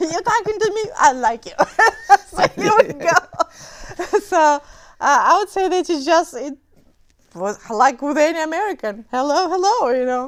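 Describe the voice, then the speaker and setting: A woman with a Romanian accent, an extremely high pitch and very wide pitch swings at a fairly slow pace. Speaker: memoir author. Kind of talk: interview. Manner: halting, many fillers.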